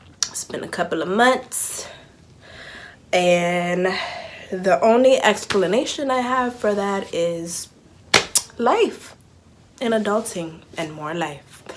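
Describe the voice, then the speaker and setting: A woman speaks very slowly at a medium pitch, with long, frequent pauses. Her intonation is lively. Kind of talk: casual talk to camera. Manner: casual, chatty.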